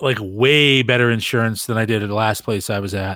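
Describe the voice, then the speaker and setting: A man's medium-pitched voice with a bright, sharp tone at a moderate pace, on a very clean recording with a silent background. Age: 40s. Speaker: podcast host. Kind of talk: casual chat.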